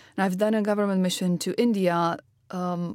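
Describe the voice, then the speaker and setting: A woman with a non-native accent speaks at a fairly quick pace and medium pitch, with fairly even intonation. The recording is very clean, with a silent background. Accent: foreign, noticeably non-local. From Romania. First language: Romanian. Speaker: health startup founder and chief executive. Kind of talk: interview. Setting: studio.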